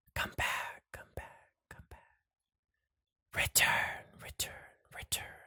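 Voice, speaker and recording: A raspy, put-on character voice moves at a very slow pace with long, frequent pauses. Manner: repeating, dimming, fading.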